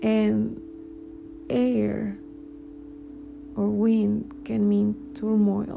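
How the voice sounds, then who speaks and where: With a Spanish accent, a woman speaks at a very slow pace with long, frequent pauses. Audible room echo and noticeable background noise surround her. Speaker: spiritual vlogger, cancer patient. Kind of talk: personal monologue. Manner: halting, many fillers.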